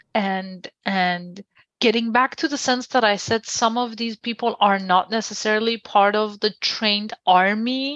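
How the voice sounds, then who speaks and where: A woman with a Persian accent and a fairly high pitch speaks at a fairly slow pace with fairly even intonation, in a dry, close sound with no echo. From Iran. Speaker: journalist and press freedom researcher. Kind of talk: interview.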